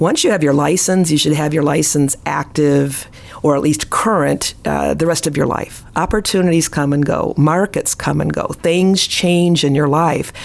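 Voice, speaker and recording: With an American accent, a woman speaks at a very deep, low pitch, with ordinary pitch variation and very even loudness, against noticeable background noise. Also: moderate pace. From US Midwest, Chicago area / northwest Indiana. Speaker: real estate instructor and realtor. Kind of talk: interview conversation.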